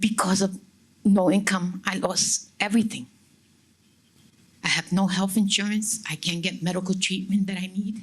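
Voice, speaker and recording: A woman's somewhat breathy, medium-pitched voice in a monotone, flat intonation at a moderate pace, with long, frequent pauses. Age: 60s. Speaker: audience member asking a question. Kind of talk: question at town hall.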